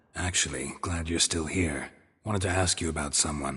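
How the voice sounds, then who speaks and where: A man puts on a character voice with a deadpan tone, very deep and low in pitch and raspy. His pace is moderate, and the background is quiet. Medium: short film. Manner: terse, deadpan.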